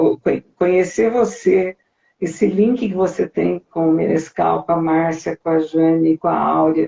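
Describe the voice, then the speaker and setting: A woman at a fairly slow pace, her loudness very even. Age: 60s. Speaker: singer. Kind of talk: interview.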